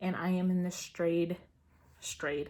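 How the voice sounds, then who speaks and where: Somewhat breathy and very slow, a woman speaks at a medium pitch with an American accent. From Georgia, US. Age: 30s. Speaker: beauty vlogger. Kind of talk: casual talk to camera.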